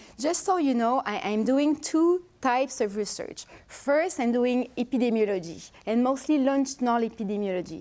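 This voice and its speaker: A woman with a strong French accent, a high pitch, a moderate pace and hardly any pauses. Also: lively intonation. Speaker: researcher. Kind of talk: lecture. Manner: halting.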